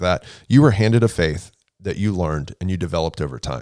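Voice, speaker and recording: A man with an American accent speaks at a fairly quick pace in a very deep, low pitch with lively intonation. The recording is very clean, with a silent background. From Houston, Texas. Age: 30s. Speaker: nonprofit development director. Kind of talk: casual chat.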